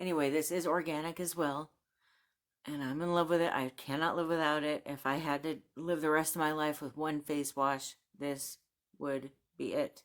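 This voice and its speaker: The delivery is monotone and flat at a moderate pace. The recording is very clean, with a silent background. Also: woman, very deep, low pitch for a woman. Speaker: YouTube reviewer and book/haul vlogger. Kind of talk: casual talk to camera. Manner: friendly, chatty.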